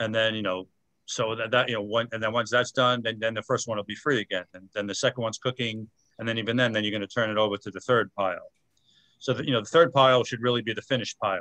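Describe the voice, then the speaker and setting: A man at a very fast pace, fairly even in intonation, dry with no echo, over a quiet background. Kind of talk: interview answer. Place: home room. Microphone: video call.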